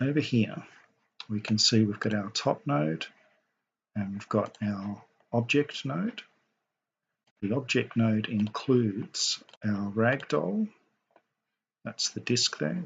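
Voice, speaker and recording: A man talks very slowly in a medium pitch, with long, frequent pauses. His voice is somewhat breathy and his intonation lively. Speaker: game modder. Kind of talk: software tutorial narration. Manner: soporific, slow.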